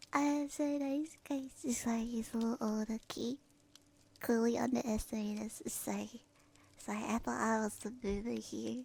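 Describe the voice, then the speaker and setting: A woman whispers in a somewhat breathy voice. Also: moderate pace. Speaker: streamer. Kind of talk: ASMR stream chat. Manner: whispered.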